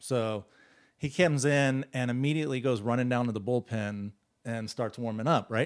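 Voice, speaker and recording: Here is an unremarkable speaking voice, a man with an American accent at medium pitch and a moderate pace. The intonation is fairly even, and the recording is very clean with a silent background. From Texas, Dallas. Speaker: medical device sales rep and former baseball player. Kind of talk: casual chat.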